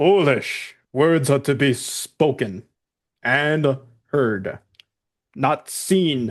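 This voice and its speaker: Over a quiet background, a man uses a put-on character voice pitched fairly high. He goes very slowly, with long, frequent pauses. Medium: actual play. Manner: broken, primitive speech.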